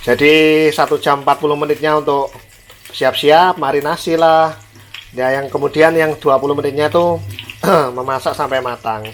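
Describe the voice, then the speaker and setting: A man with a fairly high pitch talks at a moderate pace amid noticeable background noise. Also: fairly even intonation. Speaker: cooking vlogger. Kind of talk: cooking tutorial. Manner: casual, chatty.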